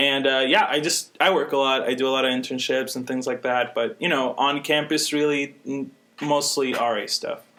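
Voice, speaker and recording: Bright, sharp male voice, fairly high in pitch, at a moderate pace with hardly any pauses and fairly even intonation. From Puerto Rico. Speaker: college student and resident assistant. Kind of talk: casual podcast chat.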